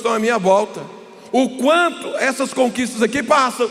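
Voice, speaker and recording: A man speaks at an extremely high pitch. Noticeable background noise sits behind him. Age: 60s. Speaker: pastor. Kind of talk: sermon. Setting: stage with audience.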